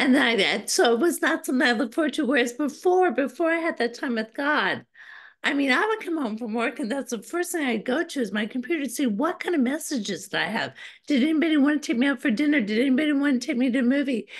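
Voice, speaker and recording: Woman with a high pitch at a very fast pace. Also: lively intonation, quiet background. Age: 60s. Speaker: guest. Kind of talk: interview. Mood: earnest personal testimony. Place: home room. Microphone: video call.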